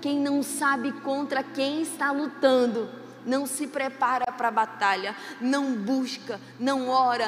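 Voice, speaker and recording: A woman's high voice at a very slow pace, with audible room echo and noticeable background noise. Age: 40s. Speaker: pastor. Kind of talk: sermon. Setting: church. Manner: animated.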